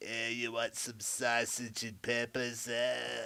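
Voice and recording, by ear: A man uses a put-on character voice at medium pitch. He speaks at a fairly slow pace.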